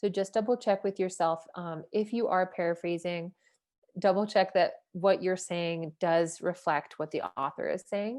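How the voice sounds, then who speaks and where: Against a quiet background, a woman uses a normal speaking voice at a medium pitch, talking at a fairly slow pace with fairly even intonation. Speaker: writing workshop leader. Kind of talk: workshop lecture.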